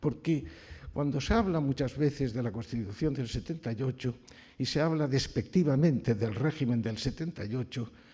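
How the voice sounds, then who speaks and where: A man's dark, mellow, somewhat breathy voice at a moderate pace. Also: medium pitch for a man, ordinary pitch variation. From Valencia, Spain. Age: 80s+. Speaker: retired judge. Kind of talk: award acceptance speech. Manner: formal.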